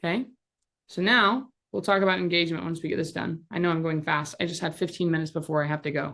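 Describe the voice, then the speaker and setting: A woman talks at a very fast pace, her fairly low pitch moving with ordinary variation. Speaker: social media instructor. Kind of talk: live tutorial workshop over video call. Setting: video call. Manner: animated.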